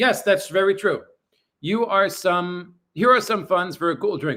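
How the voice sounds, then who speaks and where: Raised and projected, a man's high, bright, sharp voice carries at a moderate pace. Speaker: livestreamer. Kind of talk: casual livestream chat. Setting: apartment livestream. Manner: loud.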